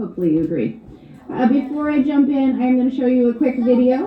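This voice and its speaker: There is noticeable background noise as a woman speaks at a fairly quick pace in a high pitch. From Hawaii. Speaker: art teacher. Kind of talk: art lesson for children.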